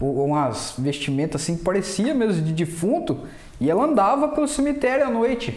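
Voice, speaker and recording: At a moderate pace, an animated voice moves through very wide pitch swings over noticeable background noise. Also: man, high pitch for a man. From Brazil, Mogi Guaçu (São Paulo interior). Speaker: podcast guest, print shop owner. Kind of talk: casual chat.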